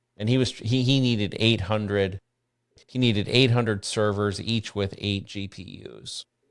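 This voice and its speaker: A man talks at a moderate pace with a fairly low pitch and fairly even intonation. The recording is very clean, with a silent background. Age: 60s. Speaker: bitcoin mining company founder. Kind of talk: podcast interview. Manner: halting, many restarts.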